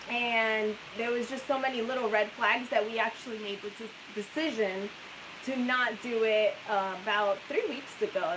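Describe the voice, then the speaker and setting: A woman speaks at a fairly high pitch with fairly even intonation, and the recording has audible room echo and noticeable background noise. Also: moderate pace. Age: young. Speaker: RV travel vlogger. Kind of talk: live stream chat. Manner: soft-spoken.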